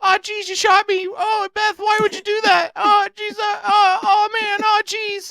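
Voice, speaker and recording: The pitch goes extremely high. It is a put-on character voice. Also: moderate pace, hardly any pauses. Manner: whiny, panicked, yelping.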